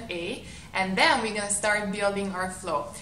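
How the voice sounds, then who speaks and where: Over noticeable background noise, a woman with a Hungarian accent talks at a moderate pace, with a medium pitch and ordinary pitch variation. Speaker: yoga instructor. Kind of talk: class introduction to camera.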